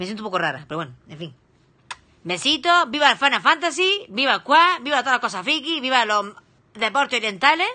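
Her tone bright, sharp and animated, a woman talks at a moderate pace with very wide pitch swings. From Spain. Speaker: streamer and criminologist; streamer. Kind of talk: casual live stream reaction. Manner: halting. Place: home room. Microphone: phone near.

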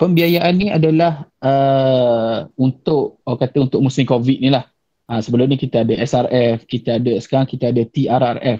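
A man speaks at a moderate pace with very even loudness. His tone is dark and mellow against a quiet background. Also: ordinary pitch variation. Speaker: bank officer. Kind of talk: webinar presentation. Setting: video call. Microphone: video call.

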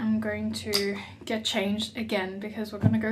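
A woman talks in a monotone, flat intonation over noticeable background noise. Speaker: travel vlogger. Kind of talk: casual vlog chat. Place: home room.

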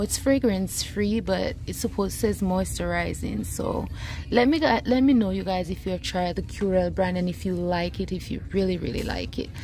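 A woman talks at a moderate pace. Light background noise is present, and the sound is dry with no echo. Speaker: shopping vlogger. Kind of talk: casual vlog chat. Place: shop. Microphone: phone near.

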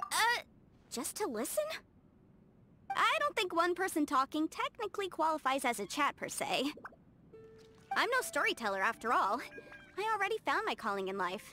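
A woman performs a put-on character voice with a high pitch, a bright, sharp tone and big pitch swings. She leaves long, frequent pauses while faint music plays in the background. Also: moderate pace.

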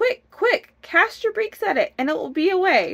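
A woman uses a put-on character voice at an extremely high pitch with big pitch swings and vocal fry. Her tone is fairly bright and her pace moderate.

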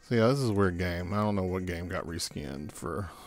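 Over music in the background, a man talks with lively intonation at a very deep, low pitch. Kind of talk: casual gadget review to camera. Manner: dry, sarcastic.

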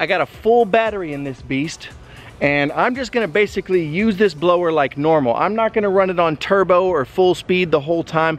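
Music plays in the background as a man talks at a very fast pace, his pitch high with ordinary variation. The sound is dry with no echo. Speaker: product reviewer. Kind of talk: casual vlog chat. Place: garden. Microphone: phone near.

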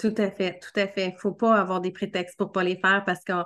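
A woman speaks with a Quebec accent against a quiet background. Her intonation is monotone and flat. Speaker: marketing coach and podcast host; marketing coach, podcast host. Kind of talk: casual interview. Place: home room. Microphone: video call.

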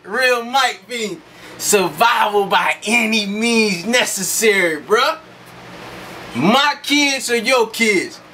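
A man speaks in a raised, projected voice with lively intonation. Light background noise can be heard. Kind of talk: boastful rant to camera. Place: home room. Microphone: phone near.

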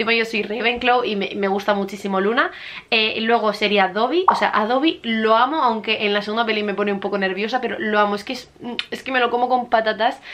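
A woman talks at a fairly quick pace and a fairly high pitch, with ordinary pitch variation. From Murcia, Spain. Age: 20s. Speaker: book YouTuber. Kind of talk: casual talk to camera. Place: home room. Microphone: camera far.

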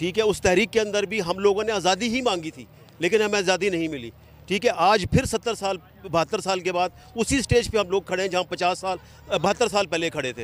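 A man with a high pitch talks at a fairly quick pace amid crowd noise in the background, the sound dry with no echo. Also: ordinary pitch variation. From Pakistan, Multan; Pakistan. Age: 50s. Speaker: rally attendee interviewed by reporter; interviewee. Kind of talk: street interview. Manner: impassioned, animated. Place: stadium.

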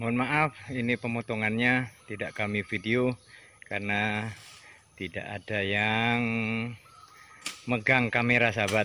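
A man speaks at a fairly slow pace with long, frequent pauses and fairly even intonation. His tone is bright and sharp, and the sound is dry with no echo, over light background noise. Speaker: vlogger filming community work. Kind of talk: casual vlog commentary. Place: open country. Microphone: phone near.

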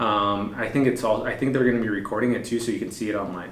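There is audible room echo around this man. His pitch moves with ordinary variation. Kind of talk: casual meeting talk. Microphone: camera far.

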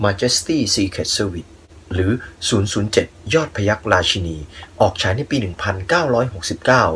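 A man speaks in an unremarkable speaking voice, pitched fairly low. His intonation is lively. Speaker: movie review channel host. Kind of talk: radio-style movie recommendation narration.

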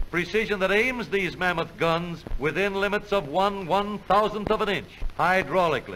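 Raising and projecting his voice, a man speaks at a high pitch and a moderate pace in an upbeat, confident tone with very even loudness. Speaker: educational film narrator. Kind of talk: 1950s educational film narration, scripted and authoritative. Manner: brisk, formal, confident announcer delivery; upbeat, patriotic, salesman-like tone.

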